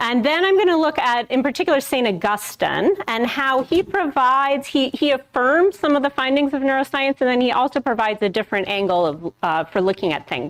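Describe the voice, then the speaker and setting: A woman talks loudly and fairly quickly, with hardly any pauses. Her high pitch swings very widely. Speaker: professor. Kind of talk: lecture.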